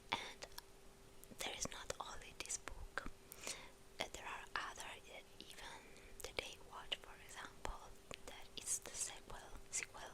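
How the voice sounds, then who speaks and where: Whispering fairly slowly, a woman can be heard over noticeable background noise. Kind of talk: ASMR chat. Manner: whispered, soft-spoken.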